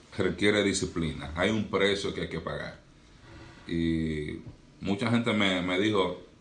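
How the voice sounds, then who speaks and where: At a moderate pace, a man talks in a very deep, low pitch, with audible room echo around him. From Dominican Republic. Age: young. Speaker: doctor and pastor. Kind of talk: podcast interview.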